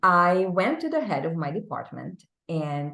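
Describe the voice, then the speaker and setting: A woman speaks with a Czech accent. Her pace is very slow. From Czech Republic. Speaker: business executive. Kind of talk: interview.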